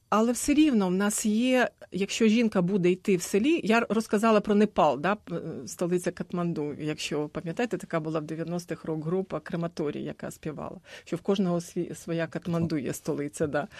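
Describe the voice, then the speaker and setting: A woman with a normal speaking voice talks at a moderate pace in a fairly low pitch with ordinary pitch variation. The sound is dry and close with no echo, and the background is quiet. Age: 50s. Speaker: gender adviser. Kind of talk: radio panel discussion. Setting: radio studio.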